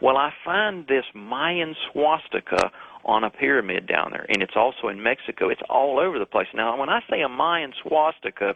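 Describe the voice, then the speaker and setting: With lively intonation, a man talks at a moderate pace in a fairly high pitch. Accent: Southern US. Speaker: author and researcher. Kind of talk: radio call-in interview.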